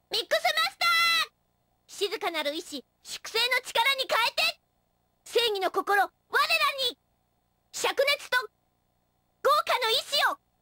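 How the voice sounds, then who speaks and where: The speaker uses a put-on character voice. Long pauses come often. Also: woman, extremely high pitch for a woman, moderate pace. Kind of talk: video game character lines. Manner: playful, varied.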